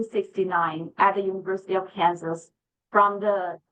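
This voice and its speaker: The pace here is moderate. It is a plain, everyday voice. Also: woman. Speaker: behavior analyst presenting to educators. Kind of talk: lecture.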